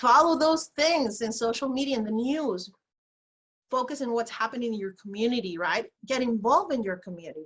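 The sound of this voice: A woman speaks at a moderate pace with lively intonation and a fairly high pitch. Her voice carries a slightly husky edge.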